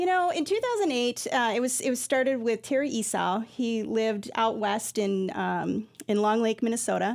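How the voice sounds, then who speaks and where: A plain, everyday voice from a woman with an American accent, fairly high pitch and ordinary pitch variation, on a very clean recording with a silent background. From Iowa, US Midwest. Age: 40s. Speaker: nonprofit executive director. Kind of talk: radio interview.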